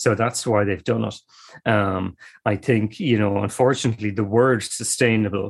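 A medium-pitched man with an Irish accent, at a moderate pace, with fairly even intonation. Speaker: ecologist and environmental campaigner. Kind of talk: interview.

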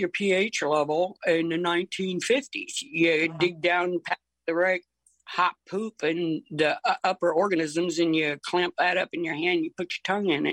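With an American accent, a woman of fairly low pitch uses fairly even intonation in a dry, close sound with no echo. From Ohio, with roots in Tennessee and Alabama. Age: 60s. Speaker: horticulturalist. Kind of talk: casual interview. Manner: halting.

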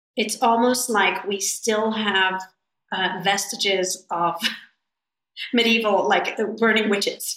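With an unremarkable speaking voice, a woman speaks at a fairly slow pace and a medium pitch. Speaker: animal rescue founder. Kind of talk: interview conversation.

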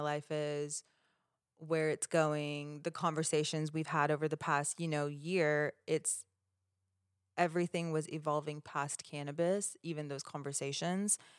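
A woman's very deep, low voice, monotone and flat, at a moderate pace, on a very clean recording with a silent background. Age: 30s. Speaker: podcast co-host. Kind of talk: casual chat.

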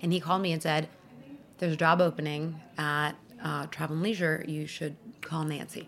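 This woman has a very deep, low pitch. She talks at a fairly quick pace with monotone, flat intonation. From Iran, then Paris, moved to New York at 13. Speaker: magazine editor and food TV judge. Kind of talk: interview.

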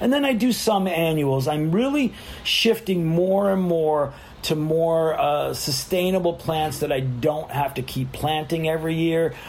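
A man with a fairly high pitch and ordinary pitch variation speaks at a fairly slow pace amid noticeable background noise. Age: 60s. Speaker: gardener and yoga instructor. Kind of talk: casual interview.

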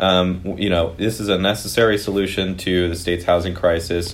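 Speaking at a moderate pace, a man talks with a Californian accent. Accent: Californian American. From US West Coast (Piedmont, East Bay, California). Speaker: housing advocacy group representative. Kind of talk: interview.

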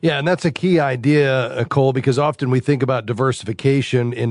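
Here a man has a normal speaking voice, pitched in the medium range, with ordinary pitch variation. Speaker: radio host of call-in finance show. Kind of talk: call-in radio show and interview. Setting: studio.

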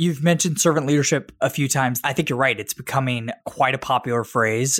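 The man has an unremarkable speaking voice. His pitch is medium, with ordinary variation. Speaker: podcast host. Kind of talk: scripted intro and interview.

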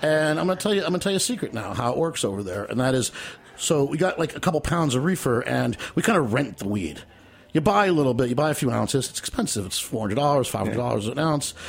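This man talks at a very fast pace in a fairly high pitch. His pitch swings very widely. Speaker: memoirist performing excerpts. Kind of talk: reading aloud from memoir. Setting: studio.

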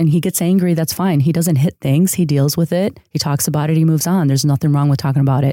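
A woman with a very deep, low pitch and a dark, mellow tone talks at a very fast pace with hardly any pauses, very even loudness and fairly even intonation, in a dry, close sound with no echo and a very clean recording with a silent background. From Chicago area, US. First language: Spanish. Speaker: user experience designer. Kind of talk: casual interview chat.

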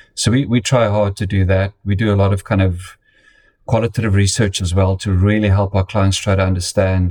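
Somewhat breathy, a man with an American accent and a fairly low pitch speaks at a moderate pace. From South Africa. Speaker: marketing data executive. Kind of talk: interview. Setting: remote call. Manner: hesitant fillers.

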